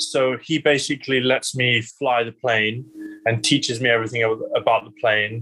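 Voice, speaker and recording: A man speaks at a medium pitch and a moderate pace. His tone is bright and sharp, his intonation fairly even. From southwest England, Exeter, childhood partly in Bali. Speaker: surfer. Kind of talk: casual interview.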